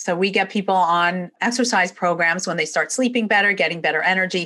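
A woman talks with a New York accent at a fairly quick pace. Her tone is bright and sharp. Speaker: chiropractor. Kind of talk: interview conversation.

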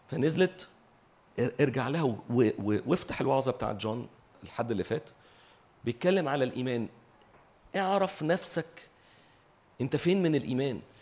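The intonation is lively and the pace moderate. Long pauses come often. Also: man, medium pitch for a man. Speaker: preacher. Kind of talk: sermon.

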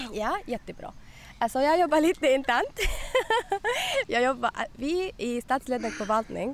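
Lively in intonation, a woman with a non-native accent talks at a moderate pace. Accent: non-native Swedish. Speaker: municipal communications worker. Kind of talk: casual chat. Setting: outdoors. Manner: halting.

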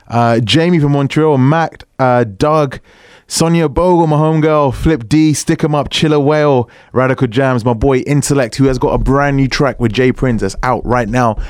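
This man speaks with a British accent at a moderate pace, his pitch fairly high. His loudness stays very even throughout. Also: ordinary pitch variation. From England. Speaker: radio DJ. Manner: energetic, warm, slangy, hyping each track and thanking listeners.

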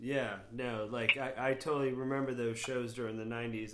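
A man with an American accent at medium pitch, moderate speed, and fairly even intonation, plus audible room echo. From Florida. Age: 40s. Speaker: podcast host. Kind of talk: casual chat.

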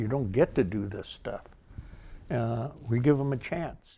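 A man with an American accent speaks fairly slowly in a dark, mellow, somewhat breathy tone, using ordinary pitch variation. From Livermore, California. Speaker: rodeo volunteer and former cowboy. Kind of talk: oral history interview.

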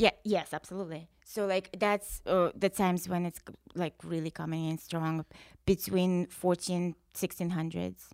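In a Russian accent, a woman speaks at a fairly slow pace with a fairly low pitch and monotone, flat intonation. The recording is very clean with a silent background and a dry, close sound with no echo. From Russia, rural wooded area. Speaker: musician, former metal band founder. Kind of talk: casual chat.

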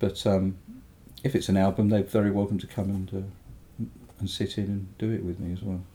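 At a fairly quick pace but with long, frequent pauses, the somewhat breathy voice keeps a monotone, flat intonation. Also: man, fairly low pitch for a man. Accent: English. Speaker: mastering engineer and record producer. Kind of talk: casual interview. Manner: halting.

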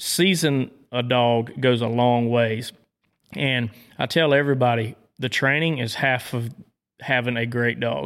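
With a Southern US accent, a man speaks at a medium pitch and a fairly slow pace. His intonation is fairly even, broken by long, frequent pauses. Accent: Southern twang. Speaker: dog trainer. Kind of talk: casual interview. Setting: hunting camp.

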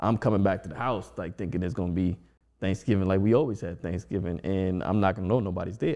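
A man with an American accent talks at a very fast pace. His pitch is very deep and low, and his tone is dark and mellow. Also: ordinary pitch variation. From Washington DC. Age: 40s. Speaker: DJ. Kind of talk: casual chat.

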